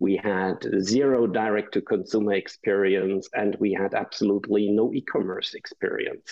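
His voice has a fairly low pitch. The man's intonation stays fairly even. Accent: German. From Germany. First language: German. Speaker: business founder. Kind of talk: interview. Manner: hesitant, many fillers.

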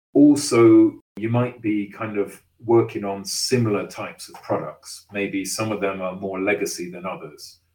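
Speaking at a fairly slow pace, a man with an English accent has a fairly low pitch. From England. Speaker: engineering executive. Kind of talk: interview.

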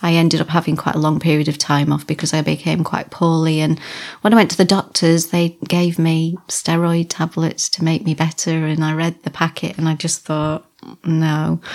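At a moderate pace, a woman with a fairly low pitch speaks in a monotone, flat manner. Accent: slight Lancashire. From Wigan, Lancashire. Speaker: bodybuilder and gym owner. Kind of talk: casual interview chat.

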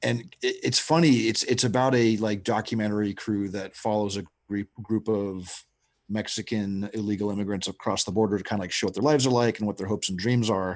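With an American accent and a normal speaking voice, a man talks at a fairly quick pace with fairly low pitch and fairly even intonation against a quiet background. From Texas. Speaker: film director. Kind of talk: casual interview.

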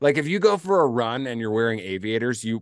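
An American accent against a quiet background. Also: man. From US Midwest. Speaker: journalist and podcaster. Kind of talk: casual chat. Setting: video call. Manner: animated.

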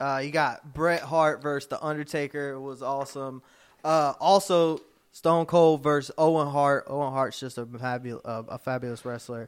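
A man with an unremarkable speaking voice talks at a moderate pace, pitched fairly high with fairly even intonation. His loudness swings widely, on a very clean recording with a silent background. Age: 20s. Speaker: wrestling podcast co-host. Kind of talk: casual chat.

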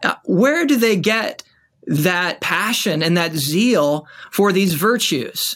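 A man's high-pitched voice at a very slow pace, with lively intonation. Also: very even loudness. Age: 30s. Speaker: associate pastor. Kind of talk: interview. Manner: halting, repeats words.

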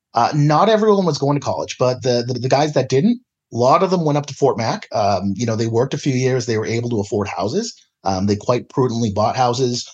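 A man with a Canadian accent, an unremarkable speaking voice, medium pitch and lively intonation. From British Columbia interior (Kamloops). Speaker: political columnist. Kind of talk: interview conversation.

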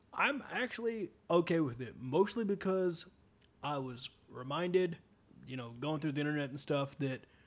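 Using a plain, everyday voice, a man speaks at a moderate pace with a fairly high pitch. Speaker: podcast co-host. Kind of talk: casual chat.

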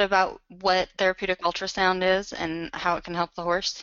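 The clip has a normal speaking voice. It goes at a fairly quick pace. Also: woman. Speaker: webinar host, magazine editor. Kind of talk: live webinar interview.

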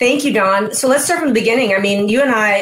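There is noticeable background noise. Through it, a woman talks with lively intonation. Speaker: integrative physician, podcast host. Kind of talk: educational interview. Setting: video broadcast.

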